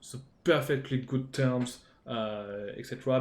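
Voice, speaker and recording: This is a man with a French accent. His pitch sits at a medium level. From France. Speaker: gaming youtuber. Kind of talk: game tutorial. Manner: halting, many fillers.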